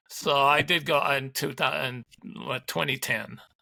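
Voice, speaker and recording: Bright and sharp in tone with vocal fry, a man speaks at a fairly slow pace in a dry, close sound with no echo. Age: 60s. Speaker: ultramarathon runner. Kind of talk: interview.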